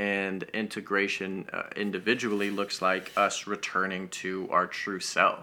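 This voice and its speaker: With an American accent, a man speaks at a fairly low pitch in a bright, sharp tone, his intonation monotone and flat, with hardly any pauses. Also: fairly slow pace. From Denver, Colorado, US. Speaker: mental health coach. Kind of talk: casual chat.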